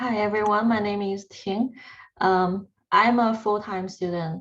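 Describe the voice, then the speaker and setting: A woman speaks with a Chinese accent at a fairly slow pace. The background is quiet. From China. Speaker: PhD student. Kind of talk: panel talk.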